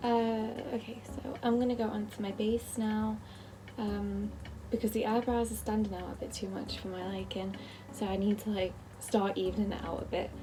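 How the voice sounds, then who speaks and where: A woman talks at a moderate pace. Audible room echo and noticeable background noise surround her. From northern England, Merseyside (near Liverpool). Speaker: beauty vlogger. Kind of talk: makeup tutorial. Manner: casual, filler-heavy.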